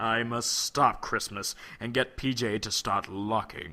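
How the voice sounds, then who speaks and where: A man puts on a character voice at a medium pitch. He talks at a fairly slow pace. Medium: read story. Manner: sneering, cackling.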